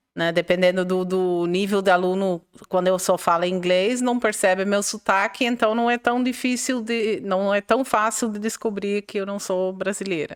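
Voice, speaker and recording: With a non-native accent, a woman speaks at a moderate pace and medium pitch. Her intonation is fairly even, with hardly any pauses. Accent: foreign accent in Portuguese. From Netherlands. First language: Dutch (speaking Portuguese). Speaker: English teacher. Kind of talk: interview. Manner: halting.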